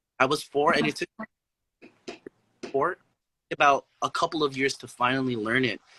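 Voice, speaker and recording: With a slight Filipino accent, a man speaks at a moderate pace in a bright, sharp tone and fairly high pitch, using ordinary pitch variation and long, frequent pauses, in a dry, close sound with no echo. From Philippines, Zamboanga, Mindanao. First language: Chabacano. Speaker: artist, musician and poet. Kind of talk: casual chat.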